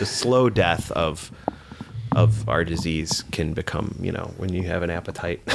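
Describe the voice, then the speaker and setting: A man with a very deep, low pitch talks as noticeable noise runs in the background. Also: ordinary pitch variation, moderate pace. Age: 40s. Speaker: recovering alcoholic guest. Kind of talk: casual interview, recovery story.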